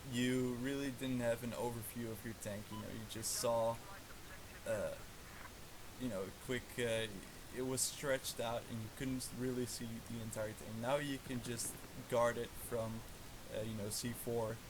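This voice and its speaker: Amid noticeable background noise and audible room echo, a man with a Dutch accent speaks in a monotone, flat intonation at medium pitch and a moderate pace, with long, frequent pauses. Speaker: gaming livestreamer. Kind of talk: live gameplay commentary. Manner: casual, many fillers.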